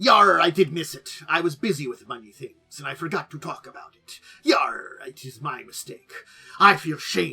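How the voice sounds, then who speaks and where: A man's raspy, put-on character voice at a high pitch and moderate pace. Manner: mock-seafaring, playful.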